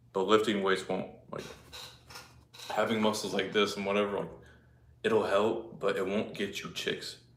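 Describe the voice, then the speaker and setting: Amid audible room echo, a man with a fairly low pitch speaks in a monotone, flat way at a moderate pace, with long, frequent pauses. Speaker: fitness livestreamer. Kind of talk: casual livestream chat. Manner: casual, filler-heavy.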